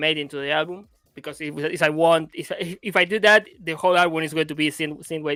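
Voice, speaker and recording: The speaker is a man with a Spanish accent. He talks at a fairly high pitch. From Argentina. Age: 30s. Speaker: music producer and DJ. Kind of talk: interview. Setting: live stream. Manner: halting.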